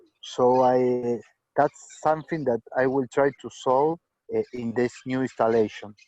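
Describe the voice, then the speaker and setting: A man speaks at a fairly slow pace with fairly even intonation. His medium-pitched voice has a dark, mellow tone. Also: dry, close sound with no echo. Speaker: hobbyist robot tractor builder. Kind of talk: video call meeting. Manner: halting.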